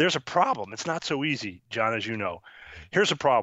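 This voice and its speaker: Animated in tone, a man with an American accent talks at a fairly quick pace and a fairly high pitch, with vocal fry. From upstate New York (Syracuse). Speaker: author and keynote speaker. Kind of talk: interview.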